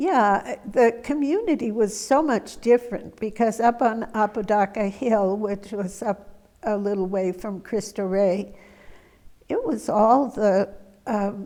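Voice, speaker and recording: Speaking with an American accent, a woman uses a dark, mellow tone at a fairly high pitch, with ordinary pitch variation and a fairly slow pace. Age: 80s+. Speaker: retired schoolteacher, interviewee. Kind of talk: oral history interview. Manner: hesitant, many fillers.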